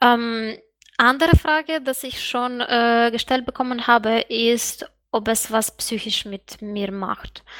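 The woman speaks at a very slow pace with a fairly high pitch. Her intonation is fairly even, but her loudness swings widely. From Eastern Europe outside EU. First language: Eastern European language (speaking German). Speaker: student and sex worker. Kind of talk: interview.

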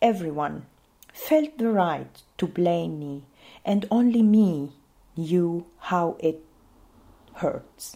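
Speaking very slowly with long, frequent pauses, a woman with an Arabic accent has a dark, mellow tone at a fairly low pitch and ordinary pitch variation. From Syria. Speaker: refugee mother telling her story. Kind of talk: personal testimony.

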